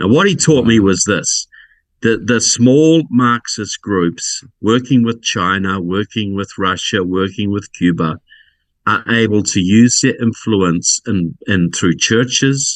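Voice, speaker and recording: Very slowly and with a fairly low pitch, a man speaks in a New Zealand accent. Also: ordinary pitch variation. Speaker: political researcher and author. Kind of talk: podcast interview.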